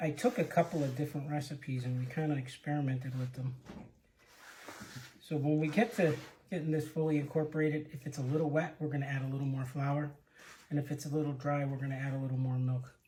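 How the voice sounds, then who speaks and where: Talking at a very fast pace, a man with a fairly high pitch and a dark, mellow tone sounds somewhat breathy, with fairly even intonation. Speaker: home cook. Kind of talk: cooking demonstration. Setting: home kitchen. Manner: soft-spoken.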